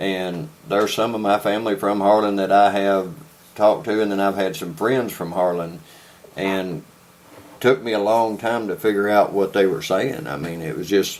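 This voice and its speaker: In a strong Southern US accent, a man speaks at a moderate pace with a fairly low pitch and ordinary pitch variation. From Kentucky. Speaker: podcast host. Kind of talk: casual interview chat.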